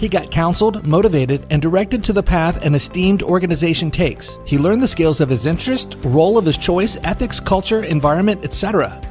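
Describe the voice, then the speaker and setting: Over faint background music, a man with an American accent talks at a high pitch and a very fast pace, with hardly any pauses. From United States. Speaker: voice actor. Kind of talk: explainer / promotional narration. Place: studio.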